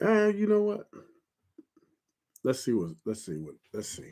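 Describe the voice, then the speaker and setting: His pitch swings very widely. The man's pace is moderate. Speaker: vlogger. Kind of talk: casual monologue. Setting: outdoors late at night. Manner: halting, repetitive.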